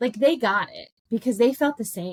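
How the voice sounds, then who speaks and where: Her pitch swinging very widely, a woman speaks in an animated tone. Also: dry, close sound with no echo. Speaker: life coach podcast host. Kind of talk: casual monologue. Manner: loud.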